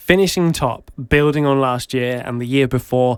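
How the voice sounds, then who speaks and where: A man with an East of England accent, medium pitch and fairly even intonation, on a very clean recording with a silent background. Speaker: football podcast co-host. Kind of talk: casual chat.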